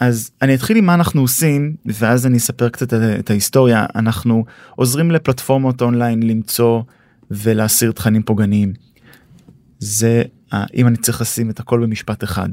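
A dark, mellow voice speaks at a moderate pace with ordinary pitch variation, in a dry, close sound with no echo. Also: man, medium pitch for a man. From Israel. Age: 30s. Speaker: tech startup co-founder and CTO. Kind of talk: podcast interview. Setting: studio.

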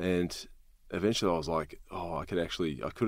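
Very fast speech in an Australian accent, with vocal fry. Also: man. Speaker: ex-soldier and speaker. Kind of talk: casual interview.

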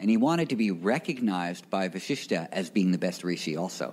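A man with an ordinary speaking voice talks at a moderate pace with lively intonation. The recording is very clean, with a silent background. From New York City, Greenwich Village. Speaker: yoga teacher. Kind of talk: interview before live audience. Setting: yoga studio with live audience.

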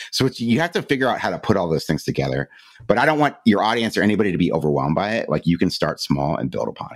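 Talking at a very fast pace with an American accent, a man with a fairly low pitch shows vocal fry and very wide pitch swings. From Cleveland, Ohio. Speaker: mental health podcaster. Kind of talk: interview.

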